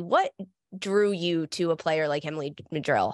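Over a quiet background, a woman speaks at a fairly quick pace with fairly even intonation, the sound dry with no echo. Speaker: soccer broadcaster and analyst, former player. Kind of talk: interview. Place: home room. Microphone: studio mic.

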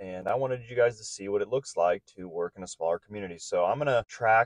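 Against a quiet background, a man with a fairly low pitch and ordinary pitch variation talks at a very fast pace in a dry sound with no echo. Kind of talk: casual vlog chat. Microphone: phone near.

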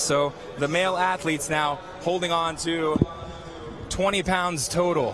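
Music plays behind a man whose high voice carries an animated tone, recorded with a dry sound and no echo. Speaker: field reporter. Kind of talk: live sports commentary. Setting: on the field. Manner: animated, reporting from the field. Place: stadium. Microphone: handheld.

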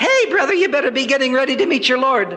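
Put-on character voice, high-pitched, shrill and squeaky, at a very fast pace. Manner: shouting, confrontational.

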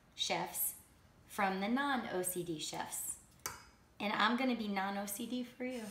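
There is light background noise. The room echo is audible. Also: woman. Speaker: host demonstrating a recipe. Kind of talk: casual cooking tutorial. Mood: playful, laughing. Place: kitchen. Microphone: camera far.

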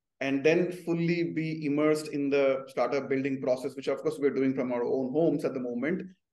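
The pace is moderate. Audible room echo is present. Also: man. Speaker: remote guest. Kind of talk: interview answer. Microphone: video call.

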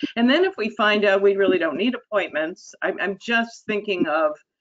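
A woman speaks in a plain, everyday voice at a medium pitch. Her intonation is lively, and the background is quiet. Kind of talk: board meeting. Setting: video call. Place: home room. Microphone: video call.

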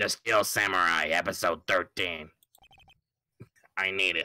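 Putting on a character voice, a man speaks at a fairly slow pace in a very deep, low, raspy pitch with monotone, flat intonation.

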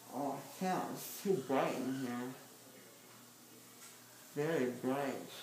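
A man speaks at a very slow pace with ordinary pitch variation, his voice carrying audible room echo over noticeable background noise. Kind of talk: groggy rambling chat. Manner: groggy, slurred anesthesia-drugged speech. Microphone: phone near.

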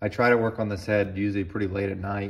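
Against a quiet background, a man with a fairly low pitch and a somewhat breathy voice talks in a monotone, flat intonation. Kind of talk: casual tutorial chat. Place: workshop. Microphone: phone near.

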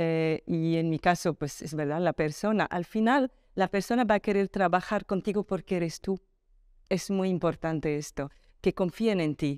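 Against a quiet background, a woman speaks with a fairly low pitch and ordinary pitch variation. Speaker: telecom executive; interviewee. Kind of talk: interview. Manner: calm, unhurried. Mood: warm, earnest, reflective. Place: home room. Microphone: lapel.

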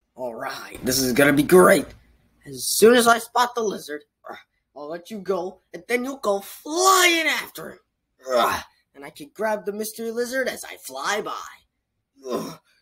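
In a cartoonish character voice, a man speaks at a moderate pace with a high pitch, very wide pitch swings and big swings in loudness. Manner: excited, energetic.

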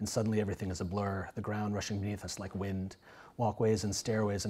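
The clip features a natural reading voice.

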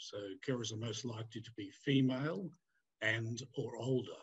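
Delivered at a moderate pace, the speech has fairly even intonation and a somewhat breathy quality. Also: man. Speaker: conference keynote presenter. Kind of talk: lecture. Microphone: webcam.

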